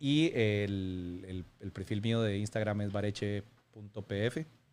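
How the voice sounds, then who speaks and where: Speaking very slowly, a man with a fairly low pitch and ordinary pitch variation is heard on a very clean recording with a silent background. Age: 40s. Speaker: football fitness coach. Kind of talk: casual interview. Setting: room with rain noise.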